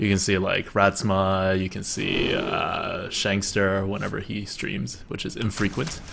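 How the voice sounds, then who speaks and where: With hardly any pauses, a man talks at a fairly slow pace and fairly low pitch with ordinary pitch variation, through noticeable background noise and audible room echo. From New Jersey (born in Beijing, moved at about five). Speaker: video game streamer. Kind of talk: casual live-stream chat while playing.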